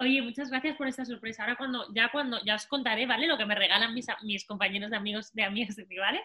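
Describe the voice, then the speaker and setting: With a Spanish accent, a woman with a fairly high pitch speaks at a very fast pace, with ordinary pitch variation and hardly any pauses. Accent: Peninsular Spanish. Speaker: football podcast co-host. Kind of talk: casual chat.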